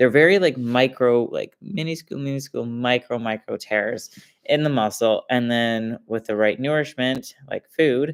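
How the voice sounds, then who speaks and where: A man at medium pitch and a moderate pace, on a very clean recording with a silent background. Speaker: fitness coach. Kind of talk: live stream talk. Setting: live stream. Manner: monotone; casual, filler-heavy.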